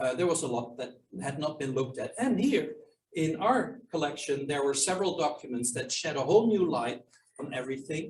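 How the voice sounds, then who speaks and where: Fairly quick, fairly high-pitched male speech with lively intonation, a non-native accent, and audible room echo. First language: not English. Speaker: historian and author. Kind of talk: Q&A at a book launch. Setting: archive reading room with audience and Zoom. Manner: hesitant, with fillers and restarts.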